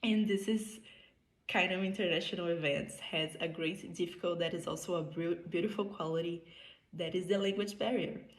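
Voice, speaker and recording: Audible room echo carries the fairly low voice of a woman with a Brazilian Portuguese accent and fairly even intonation. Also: moderate pace. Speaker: medical student. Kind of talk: prepared conference speech. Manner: halting non-native phrasing.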